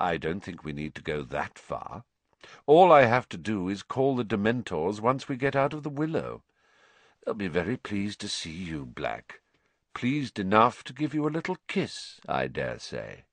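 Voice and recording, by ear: A man in a put-on character voice speaks at a fairly slow pace and fairly low pitch, with big pitch swings and a dry, close sound that has no echo.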